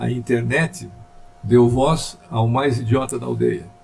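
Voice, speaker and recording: A man speaks fairly slowly while noticeable background noise is heard. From Curitiba, Brazil. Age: 80s+. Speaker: journalist. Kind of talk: interview answer.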